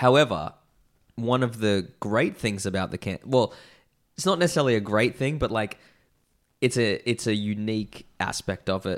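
With long, frequent pauses, a man in an Australian accent talks at a medium pitch with lively intonation. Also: moderate pace, very clean recording, silent background. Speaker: beer podcast host. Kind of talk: casual chat.

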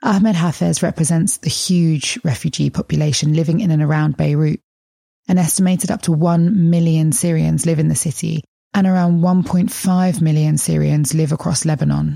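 A woman with a very deep, low pitch and a dark, mellow tone speaks somewhat breathily at a moderate pace. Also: ordinary pitch variation, very even loudness. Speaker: podcast host. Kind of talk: scripted narration and interview.

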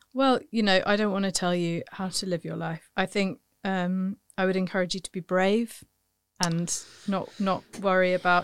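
A woman with an ordinary speaking voice talks at a moderate pace in a medium pitch with fairly even intonation, in a very clean recording with a silent background. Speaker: podcast host and comedian. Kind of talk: casual chat.

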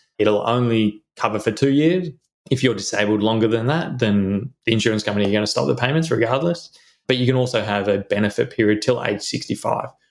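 With an Australian accent, a man talks at a fairly quick pace and medium pitch. His pitch varies in an ordinary way, and his loudness stays very even. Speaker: insurance adviser and financial planner. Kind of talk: casual chat.

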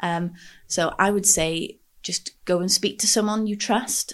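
A woman speaks with a North Welsh accent. Her pitch moves in an ordinary way. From North Wales, Anglesey. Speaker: mental health advocate. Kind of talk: interview. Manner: hesitant, many fillers.

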